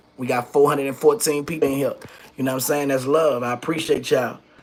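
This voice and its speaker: Noticeable background noise sits behind a man whose voice is pitched fairly high. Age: 40s. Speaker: rapper and YouTube livestream host. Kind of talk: livestream monologue. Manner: animated.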